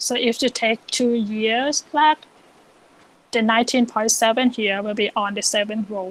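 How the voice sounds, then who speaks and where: In a very clean recording with a silent background and a dry, close sound with no echo, a woman with an unremarkable speaking voice talks at a fairly high pitch and fairly slow pace with fairly even intonation. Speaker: econometrics teaching assistant. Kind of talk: software tutorial lecture.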